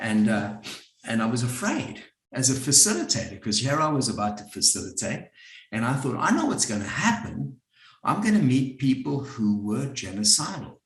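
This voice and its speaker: Heard with audible room echo, a man with a South African accent speaks in a somewhat breathy voice. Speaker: psychotherapist and group facilitator. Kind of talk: workshop talk. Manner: conversational.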